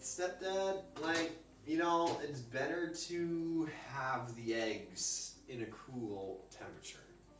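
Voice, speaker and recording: Very slow speech with lively intonation, audible room echo and music in the background. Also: man, fairly high pitch for a man. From Europe. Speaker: home cook streamer. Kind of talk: live cooking stream chat. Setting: kitchen. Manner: loud, projecting.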